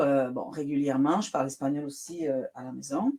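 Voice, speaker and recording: The speaker has a Spanish accent and lively intonation. The pace is fairly slow. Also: woman. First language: Spanish (speaking French). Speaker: writer. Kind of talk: interview.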